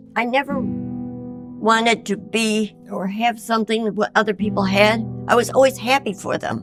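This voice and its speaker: With music playing in the background, a woman with an American accent talks at a moderate pace, hardly pausing at all. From Elmira, New York, USA. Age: 80s+. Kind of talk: interview answer.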